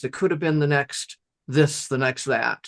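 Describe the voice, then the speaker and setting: Against a quiet background, a man speaks at a moderate pace with a fairly high pitch, in a dry, close sound with no echo. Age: 60s. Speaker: LinkedIn strategist, company founder. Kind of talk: podcast interview. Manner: hesitant, many repetitions.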